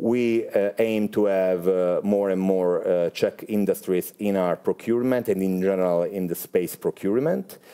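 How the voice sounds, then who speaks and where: A man speaks at a moderate pace with an Italian accent. His tone is dark and mellow, and his intonation is fairly even. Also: fairly low pitch for a man. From Italy. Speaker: space industry executive. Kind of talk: interview. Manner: halting, many filler sounds.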